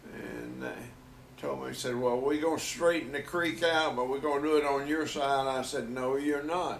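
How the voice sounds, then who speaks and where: The man's pitch is fairly high, his pace moderate and his intonation fairly even. Audible room echo and noticeable background noise fill the recording. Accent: Southern US. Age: 80s+. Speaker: grandfather telling life stories. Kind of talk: casual family interview.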